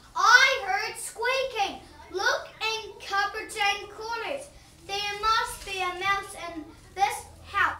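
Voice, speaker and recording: Pitched extremely high in a cartoonish character voice, the speech moves at a very slow pace with a slight echo. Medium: puppet show. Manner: commanding.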